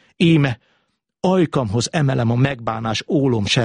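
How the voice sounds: A natural reading voice is heard, with the background staying quiet.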